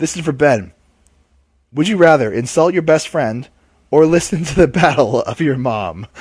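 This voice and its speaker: A man with a fairly high pitch and vocal fry talks at a moderate pace, his intonation lively and broken by long, frequent pauses. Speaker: podcast host; English teacher. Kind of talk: casual comedy podcast chat.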